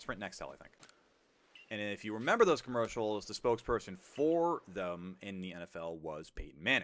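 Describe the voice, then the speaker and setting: A man with a fairly low voice and an American accent talks at a fairly quick pace with lively intonation. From New York. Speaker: gaming streamer. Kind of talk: casual chat.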